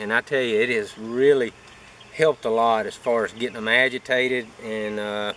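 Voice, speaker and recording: Noticeable background noise is audible. The man speaks at a moderate pace. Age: middle-aged. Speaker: beekeeper. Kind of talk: casual vlog tutorial.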